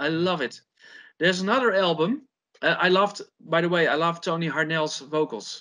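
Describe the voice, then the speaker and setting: A man with a Dutch accent, high pitched with ordinary variation, bright and sharp in tone, at a moderate pace. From Netherlands. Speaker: heavy metal guitarist. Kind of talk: casual interview chat. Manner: halting, with repetitions.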